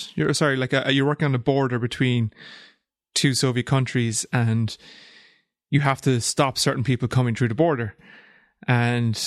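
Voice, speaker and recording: A man speaks at a moderate pace with medium pitch and fairly even intonation. The sound is dry and close with no echo, and the background is quiet. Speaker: podcast co-host. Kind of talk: casual chat. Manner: joking, laughs often.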